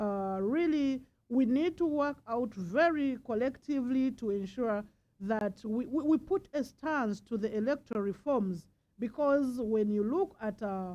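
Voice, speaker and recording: A woman's high-pitched voice with a dark, mellow tone, lively intonation and a fairly slow pace. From Uganda. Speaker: politician. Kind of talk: panel speech.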